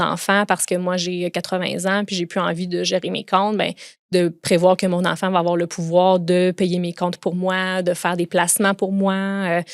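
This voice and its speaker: A woman with a Quebec accent at a fairly slow pace, monotone and flat in intonation, with hardly any pauses, in a dry, close sound with no echo and a very clean recording with a silent background. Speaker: lawyer. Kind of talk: podcast interview.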